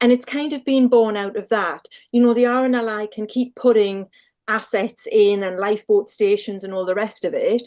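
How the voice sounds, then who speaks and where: A woman with a Northumbrian accent speaks at a fairly high pitch, keeping her intonation fairly even. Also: moderate pace. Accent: Northumbrian accent, kept. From Northumberland, northern England. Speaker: lifeboat crew member and sea safety volunteer. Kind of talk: casual interview chat.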